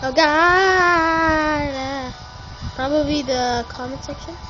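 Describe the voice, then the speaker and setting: A woman speaks with ordinary pitch variation over clear music in the background. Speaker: gamer. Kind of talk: casual gameplay commentary. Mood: playful, joking. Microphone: phone near.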